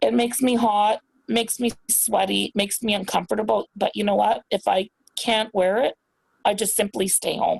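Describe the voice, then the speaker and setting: A woman with vocal fry and a fairly high pitch speaks at a moderate pace with very even loudness and fairly even intonation, in a dry, close sound with no echo. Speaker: guest on a talk show. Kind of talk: casual chat.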